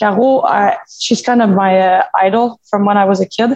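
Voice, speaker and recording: A woman with a French Canadian accent speaks at a fairly slow pace in a fairly high pitch, the sound dry and close with no echo. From Quebec. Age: 30s. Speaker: former hockey player and gym owner. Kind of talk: casual interview.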